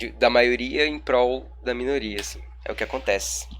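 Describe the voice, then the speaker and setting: With audible room echo around him, a man talks at a fairly slow pace. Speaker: law lecturer. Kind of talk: recorded online lecture. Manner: casual, colloquial.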